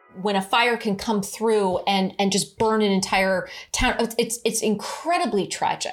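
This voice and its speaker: Speaking with an American accent, a woman uses a fairly high pitch and ordinary pitch variation. She talks at a fairly slow pace on a very clean recording with a silent background. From California, Cupertino. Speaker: tech entrepreneur. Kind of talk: interview.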